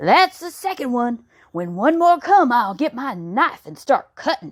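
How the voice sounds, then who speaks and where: Putting on a character voice, a woman speaks at a moderate pace in a high pitch with very wide pitch swings. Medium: read story. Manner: plain, folksy.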